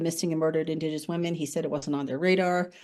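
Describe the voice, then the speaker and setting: Her voice is fairly low. A woman with a dark, mellow tone. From Ontario, Canada. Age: 60s. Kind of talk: public lecture. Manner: halting, many fillers and restarts.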